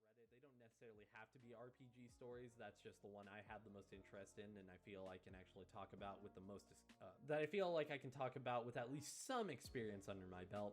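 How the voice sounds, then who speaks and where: Music plays behind a man who speaks at a very fast pace with ordinary pitch variation and big swings in loudness. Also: medium pitch for a man. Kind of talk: casual talk to camera. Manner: casual, conversational.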